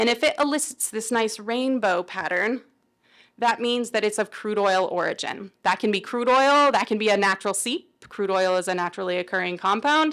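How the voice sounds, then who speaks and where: A woman talks at a moderate pace in a plain, everyday voice with fairly high pitch and ordinary pitch variation. The recording is very clean, with a silent background. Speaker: research scientist presenting. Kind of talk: conference presentation.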